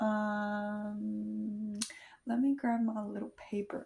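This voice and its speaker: A somewhat breathy woman's voice at a medium pitch. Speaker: vlogger. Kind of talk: casual chat. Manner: playful, chatty.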